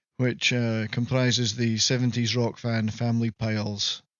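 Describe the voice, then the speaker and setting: At a fairly slow pace, a man talks in a monotone, flat intonation with a slight Scottish accent. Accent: mild Scottish. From Scotland, Moray Firth coast. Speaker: live-stream host. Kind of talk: casual comedic monologue. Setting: live stream.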